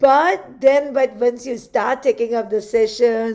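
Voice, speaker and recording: A dark, mellow tone with an Indian accent, fairly even intonation and a fairly slow pace. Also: woman. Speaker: handwriting analysis graduate. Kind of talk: graduation speech in video call.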